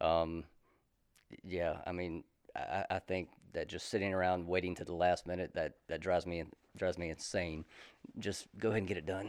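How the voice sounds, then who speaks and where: With a Southern US accent, a man talks at a fairly quick pace in a very deep, low voice and a flat monotone, leaving long, frequent pauses, on a very clean recording with a silent background. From South Carolina, Columbia. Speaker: retired army soldier turned real estate agent. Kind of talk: casual interview.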